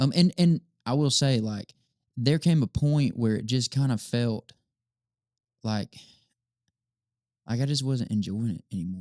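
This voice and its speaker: With a Southern US accent and a dark, mellow tone, a man speaks at a medium pitch with ordinary pitch variation and long, frequent pauses, in a dry, close sound with no echo. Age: 20s. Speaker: worship leader and songwriter. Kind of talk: casual chat.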